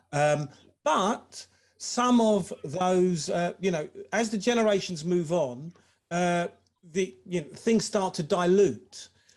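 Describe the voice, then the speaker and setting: High-pitched and very slow, a man with an English accent speaks with ordinary pitch variation. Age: 60s. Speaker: former professional footballer. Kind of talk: webinar discussion.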